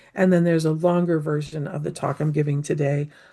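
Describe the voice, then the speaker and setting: This woman's voice is very deep and low, with a dark, mellow tone and some breathiness. She talks at a moderate pace with fairly even intonation. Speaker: anthropologist and implementation science researcher. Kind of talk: lecture.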